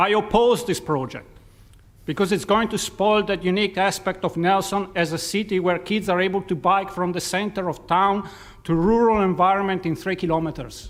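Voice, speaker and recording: A man speaks at a high pitch with a non-native accent and fairly even intonation. His pace is moderate, and the recording is very clean with a silent background. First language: not English. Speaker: submitter at public hearing. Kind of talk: prepared statement.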